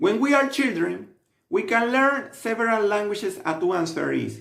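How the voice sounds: At a moderate pace, a man speaks in a high pitch with a fairly bright tone, vocal fry and lively intonation.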